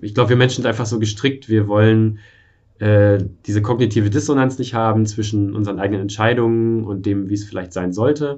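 In an ordinary speaking voice, a man talks at a fairly quick pace, his pitch fairly low and his intonation fairly even. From eastern Germany. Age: 30s. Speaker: software developer and frugality blogger. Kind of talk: casual interview.

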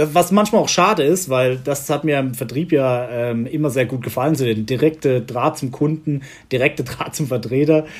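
A man speaks at a medium pitch and a moderate pace, his voice somewhat breathy. His pitch varies in an ordinary way. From Southern Palatinate, Germany. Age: 30s. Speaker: executive assistant at an insurer. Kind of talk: interview.

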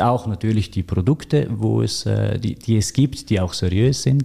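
Over a very clean recording with a silent background, a man speaks with a fairly low pitch and a dark, mellow tone. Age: 30s. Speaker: financial advisor. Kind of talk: interview. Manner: hesitant, many filler sounds.

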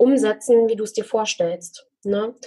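A woman is speaking. Her pitch sits fairly high. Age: 20s. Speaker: financial coach. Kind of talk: interview.

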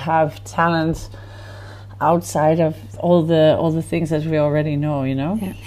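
In a Dutch accent, a woman speaks at a moderate pace with a very deep, low pitch. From Netherlands, village near Amsterdam. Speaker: festival founder. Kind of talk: casual chat. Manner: halting.

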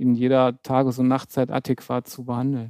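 Recorded dry and close with no echo over a quiet background, a man speaks in a dark, mellow tone at medium pitch. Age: 50s. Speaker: trauma surgeon. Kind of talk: interview.

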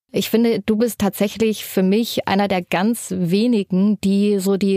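At a moderate pace and with fairly even intonation, the voice sounds dry and close with no echo, against noticeable background noise. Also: woman. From eastern Germany, Erfurt. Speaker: podcast host. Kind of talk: casual interview.

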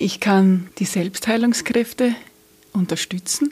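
At a very slow pace, a woman speaks with a medium pitch, ordinary pitch variation, a somewhat breathy quality and a warm, dark, mellow tone. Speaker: energy healer and police officer. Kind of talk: interview. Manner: smiling, warm.

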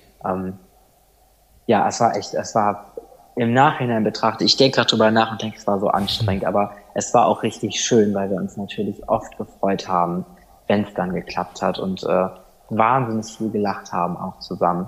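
At a moderate pace, a man with a fairly low pitch talks in an ordinary speaking voice, his intonation fairly even. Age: 20s. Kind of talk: podcast interview, personal story.

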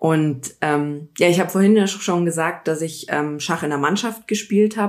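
With an unremarkable speaking voice, a woman talks at a moderate pace, fairly low in pitch, with ordinary pitch variation and hardly any pauses, on a very clean recording with a silent background. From Bavaria, Munich area. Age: 30s. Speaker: politician. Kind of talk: casual interview.

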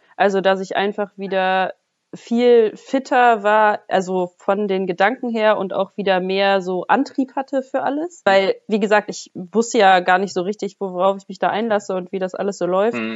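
A woman speaks at a medium pitch with ordinary pitch variation, in a normal speaking voice. Her pace is moderate, with hardly any pauses. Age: 20s. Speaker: bodybuilder. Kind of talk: casual interview.

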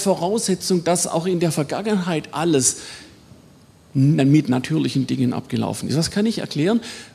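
A high-pitched man with lively intonation at a moderate pace, over noticeable background noise. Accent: Swabian. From Swabia, southwestern Germany. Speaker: biology professor. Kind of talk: lecture.

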